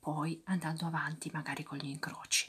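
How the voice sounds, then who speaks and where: A soft-spoken voice against a quiet background. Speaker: ASMR creator. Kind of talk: soft-spoken ASMR crossword commentary. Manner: soft-spoken ASMR murmur.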